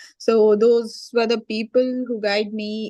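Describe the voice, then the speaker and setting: In a quiet background, a woman speaks slowly, fairly high in pitch, with fairly even intonation. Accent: Indian. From India, Chennai. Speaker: IT professional, former student. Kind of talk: interview testimony.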